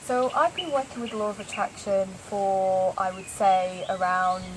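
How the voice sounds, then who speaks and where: A woman with a northern English accent talks at a fairly slow pace. Her pitch is medium, with ordinary pitch variation. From northern England, Lancashire. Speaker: interviewee, law of attraction practitioner. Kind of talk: casual interview. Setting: yoga retreat in Thailand.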